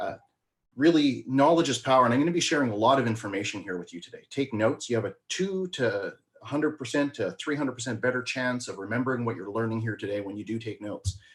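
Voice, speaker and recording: A medium-pitched man speaks at a very fast pace with lively intonation. His loudness swings a lot. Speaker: marketing coach. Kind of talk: webinar presentation. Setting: live video stream.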